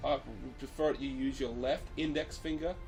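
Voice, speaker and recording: Music can be heard in the background. A man speaks at a moderate pace. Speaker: occult hobbyist. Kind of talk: casual talk to camera. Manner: hesitant, many fillers.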